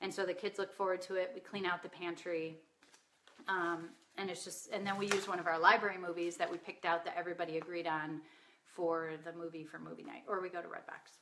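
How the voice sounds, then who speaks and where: Very fast and monotone, a woman speaks at a fairly low pitch with flat intonation. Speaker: work-at-home mom giving parenting tips. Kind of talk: live stream talk to an online group.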